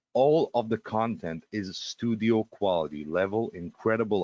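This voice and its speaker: A man with a non-native accent talks at a fairly low pitch. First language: Russian. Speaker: webinar presenter. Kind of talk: live sales webinar. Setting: live webinar. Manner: fast; hesitant, many fillers.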